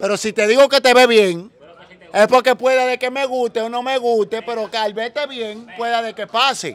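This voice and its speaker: Delivery has a moderate pace and fairly even intonation. The sound is dry, with no echo. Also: man. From Dominican Republic, Los Mina (Santo Domingo Este); Dominican Republic. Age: 20s. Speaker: social media personality; interviewee. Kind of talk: casual interview. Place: street. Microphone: handheld.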